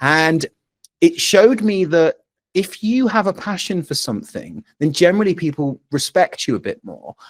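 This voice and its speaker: In a dry, close sound with no echo, a man with a high pitch speaks at a moderate pace, his intonation lively and his loudness swinging widely. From England, Bristol. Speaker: rock musician. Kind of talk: casual interview chat.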